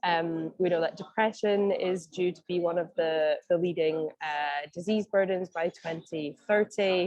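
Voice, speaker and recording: A woman in a Scottish accent at a medium pitch and a moderate pace. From Scotland. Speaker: mental health advocacy advisor. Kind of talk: online meeting presentation. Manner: hesitant, many fillers.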